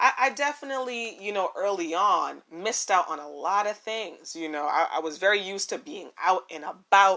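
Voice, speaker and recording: On a very clean recording with a silent background, a woman with a bright, sharp tone speaks at a fairly slow pace. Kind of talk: casual monologue. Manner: repetitive, filler-heavy.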